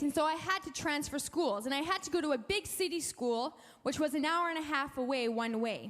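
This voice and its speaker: At a moderate pace, a woman speaks in an animated tone at a high pitch, with lively intonation. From Canada, Alberta (francophone community). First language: French. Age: young. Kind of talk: testimony.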